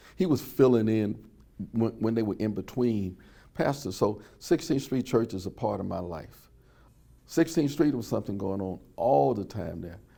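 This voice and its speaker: On a very clean recording with a silent background, a man with an American accent speaks at a fairly low pitch and a moderate pace, his dark, mellow tone touched with vocal fry. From US South, Birmingham, Alabama. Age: 70s. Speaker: civil rights era witness. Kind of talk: oral history interview. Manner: some hesitations and repeated words.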